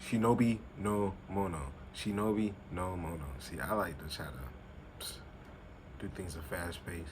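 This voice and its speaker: A man's very deep, low voice with ordinary pitch variation, big swings in loudness, long and frequent pauses, a moderate pace and audible room echo. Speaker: youtuber. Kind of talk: casual chat.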